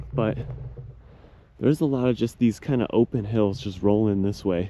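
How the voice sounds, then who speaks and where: The voice belongs to a man. He keeps a moderate pace. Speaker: YouTuber. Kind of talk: vlog narration. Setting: outdoors. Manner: loud.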